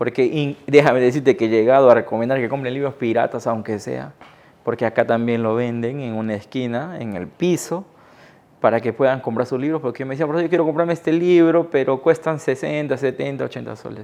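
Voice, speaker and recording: A normal speaking voice from a man, medium-pitched with ordinary pitch variation, at a fairly quick pace against a quiet background. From Iquitos, Peru. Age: 30s. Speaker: writer and teacher. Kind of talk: interview answer.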